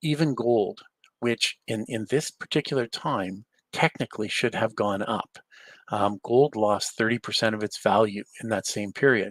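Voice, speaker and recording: A man speaks in a normal speaking voice at medium pitch, with ordinary pitch variation and a moderate pace. The sound is dry and close with no echo. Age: 60s. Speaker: real estate investor and mentor. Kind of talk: webinar presentation.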